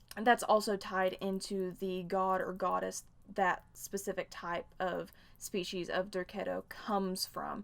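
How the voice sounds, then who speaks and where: A woman with a Southern US accent talks at a fairly slow pace. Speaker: fan fiction reviewer, YouTuber. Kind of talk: casual video review.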